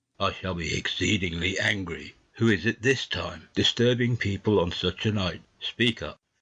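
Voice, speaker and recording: Putting on a character voice, a man sounds gruff at a fairly low pitch. He keeps a moderate pace and ordinary pitch variation. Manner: gruff, suspicious, angry.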